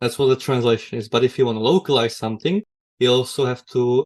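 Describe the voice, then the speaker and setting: In a Czech accent, a man is speaking. His pitch sits in the medium range. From Czech Republic. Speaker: technical writer. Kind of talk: podcast interview.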